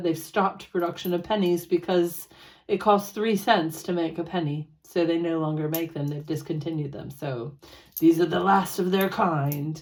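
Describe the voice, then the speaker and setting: A woman with an American accent speaks in an ordinary speaking voice, pitched fairly low. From United States. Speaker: personal finance vlogger. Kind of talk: casual vlog chat.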